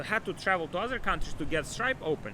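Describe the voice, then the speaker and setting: This man talks at a fairly quick pace with a non-native accent, a bright, sharp tone and very wide pitch swings. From Ukraine. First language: not English. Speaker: e-commerce entrepreneur and coach. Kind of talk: motivational talk to camera. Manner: animated.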